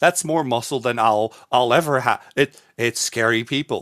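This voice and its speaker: Spoken with a Dutch accent and ordinary pitch variation, the voice comes through a very clean recording with a silent background and a dry, close sound with no echo. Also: man. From Netherlands. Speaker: streamer and caster. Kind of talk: casual interview.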